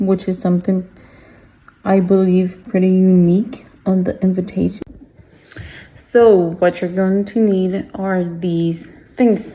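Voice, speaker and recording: A woman's somewhat breathy, monotone voice at a very slow pace, broken by long, frequent pauses. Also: medium pitch for a woman. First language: Spanish. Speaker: craft small-business owner. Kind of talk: tutorial. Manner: casual, hesitant with fillers.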